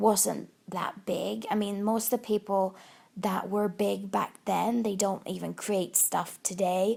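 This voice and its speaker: In a Swedish accent, a woman talks at a fairly slow pace with a medium pitch. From Sweden. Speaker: YouTube crafting vlogger. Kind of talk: casual chat. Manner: halting.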